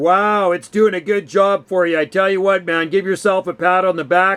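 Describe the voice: At a moderate pace, a man talks in a high pitch. His tone is clear, smooth, and fairly bright.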